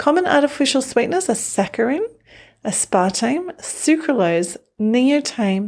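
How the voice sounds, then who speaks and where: With an Australian accent, a woman speaks at a fairly slow pace in a high voice that swings very widely in pitch. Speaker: newsletter writer and presenter. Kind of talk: scripted narration.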